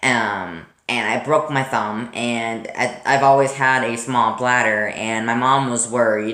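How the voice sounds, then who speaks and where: Noticeable background noise accompanies a man speaking at a medium pitch with ordinary pitch variation. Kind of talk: casual talk to camera. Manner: stuttering, hesitant.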